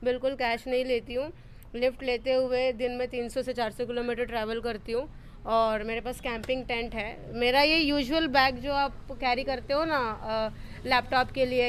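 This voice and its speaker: Speech comes at a moderate pace. The intonation is monotone and flat. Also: woman. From Tamil Nadu, India. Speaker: solo traveller. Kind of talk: interview. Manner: halting.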